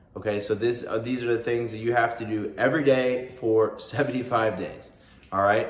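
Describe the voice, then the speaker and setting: A man at a moderate pace, with audible room echo. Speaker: fitness vlogger. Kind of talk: casual vlog explanation. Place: home room. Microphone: phone near.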